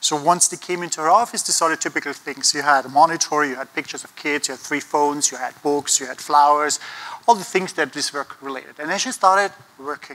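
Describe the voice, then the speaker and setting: An Austrian accent at a very fast pace, with big swings in loudness and ordinary pitch variation. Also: man, fairly high pitch for a man. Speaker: conference speaker on design thinking. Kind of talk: conference talk. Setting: stage with audience.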